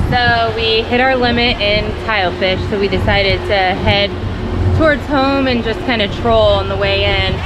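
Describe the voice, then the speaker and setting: Loud background noise behind a woman at a moderate pace. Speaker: family vlogger. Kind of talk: casual vlog chat. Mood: upbeat, excited. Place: boat. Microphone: phone near.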